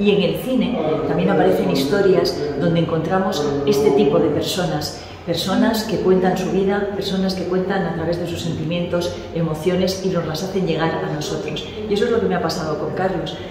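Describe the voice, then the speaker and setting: A woman speaks at a moderate pace in a room with audible echo and noticeable background noise. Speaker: guest. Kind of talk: interview answer. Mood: warm, earnest appeal. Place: hall.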